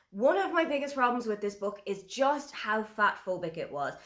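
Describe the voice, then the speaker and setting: Noticeable background noise sits under an Irish accent. The intonation is lively. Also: woman. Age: 30s. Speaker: book reviewer. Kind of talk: casual review monologue.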